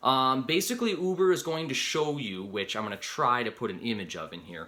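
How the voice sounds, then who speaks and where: At a moderate pace, a man with an American accent speaks in a bright, sharp tone with very wide pitch swings. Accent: Upper Midwest, heard by others as Canadian. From Upper Peninsula of Michigan. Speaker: rideshare driver and video creator. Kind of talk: tutorial. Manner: casual, conversational.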